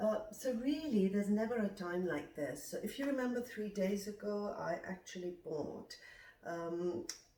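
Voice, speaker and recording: A woman speaks at a moderate pace with a medium pitch and lively intonation. Audible room echo surrounds her voice. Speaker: nutritionist and detox coach. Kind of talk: cooking tutorial vlog. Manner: slightly slurred, hesitant with fillers.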